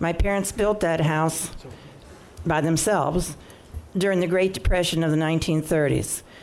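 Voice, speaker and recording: With an American accent, a woman of fairly low pitch speaks at a moderate pace with fairly even intonation, very even loudness, long, frequent pauses and audible room echo. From Maryland, Prince George's County (Beltsville). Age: 70s. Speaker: public hearing speaker, local resident. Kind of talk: public testimony at council hearing. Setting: council chamber public hearing. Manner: formal, prepared statement.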